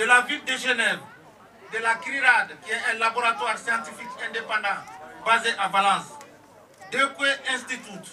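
A man talks in a raised, projected voice with ordinary pitch variation at a moderate pace. There is noticeable background noise. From Mali. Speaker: village community representative, activist. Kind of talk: rally speech. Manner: formal.

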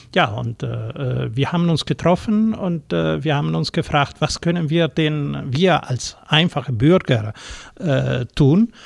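A man talks with an Italian accent. His pace is very slow. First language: Italian (speaking German). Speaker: former consulate education official. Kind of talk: studio interview. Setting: radio studio.

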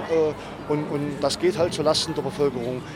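A man speaks at a moderate pace in a fairly high pitch, with noticeable background noise. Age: 50s. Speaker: bus driver. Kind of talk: interview. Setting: outdoors. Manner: halting.

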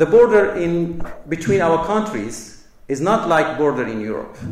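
A man with a Kurdish accent, high-pitched and fairly slow, with lively intonation, audible room echo and noticeable background noise. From Kobani, Syria (Kurdish). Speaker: political delegate. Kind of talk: public speech. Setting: university lecture hall with audience. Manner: formal.

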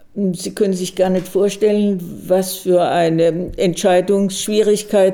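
Amid noticeable background noise, a woman speaks very slowly at a medium pitch in a flat monotone. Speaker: retired psychiatrist, memorial initiator. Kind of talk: personal account recorded for radio.

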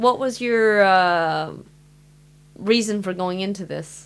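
At a fairly slow pace and with ordinary pitch variation, a woman speaks on a very clean recording with a silent background. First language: Mandarin. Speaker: radio host. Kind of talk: casual chat.

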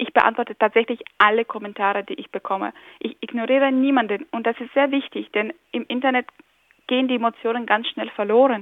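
Fairly high in pitch and fairly quick, a woman speaks in a normal speaking voice with fairly even intonation but big swings in loudness. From Ukraine. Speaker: blogger. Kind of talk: interview.

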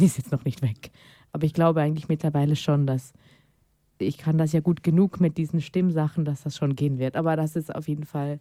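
A woman with a very deep, low pitch talks at a fairly quick pace in a dark, mellow tone. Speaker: guest on queer radio show. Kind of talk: casual chat.

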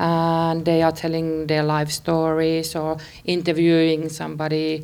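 A woman's very deep, low voice with a Finnish accent, fairly slow and monotone, with flat intonation. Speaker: radio producer. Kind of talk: interview.

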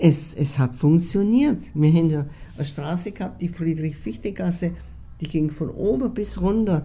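With lively intonation and vocal fry, a woman speaks at a moderate pace in a dark, mellow tone. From Bohemia, Czechoslovakia (Sudetenland). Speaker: expellee eyewitness. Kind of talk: interview testimony. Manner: halting, with fillers.

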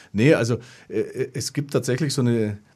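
In a very clean recording with a silent background, a man speaks at a medium pitch. His tone is dark and mellow, with ordinary pitch variation. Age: 50s. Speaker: community radio host. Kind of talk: radio panel discussion. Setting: radio studio.

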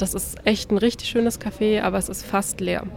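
A woman at a moderate pace, fairly even intonation, music in the background. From Berlin. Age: 20s. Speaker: master's student. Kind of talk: interview. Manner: hesitant, with fillers.

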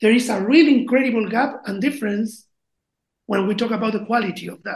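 This is a woman speaking. She has a Chilean accent. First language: Spanish. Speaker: band member and project founder. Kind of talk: casual interview. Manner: halting, with frequent fillers.

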